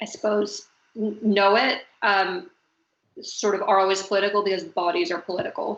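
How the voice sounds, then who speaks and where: Speaking with an American accent, a woman moves at a fairly slow pace in a fairly even intonation. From US, Venezuelan family. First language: Spanish. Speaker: fashion designer, talk moderator. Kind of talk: panel discussion on video call. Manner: hesitant, many fillers.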